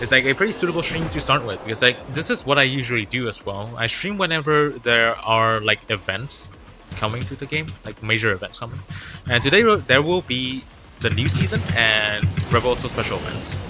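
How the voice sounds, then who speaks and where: Noticeable background noise accompanies a man with a medium-pitched voice. He talks at a fairly quick pace with lively intonation. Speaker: gaming streamer. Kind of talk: live gaming stream chat. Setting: home livestream on laptop. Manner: casual, filler-heavy.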